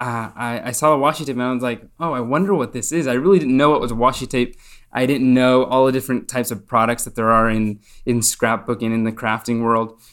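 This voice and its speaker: In a very clean recording with a silent background, a man with a normal speaking voice talks at a medium pitch and a fairly quick pace. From Spain, partly raised in the US. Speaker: paper craft designer. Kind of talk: casual interview.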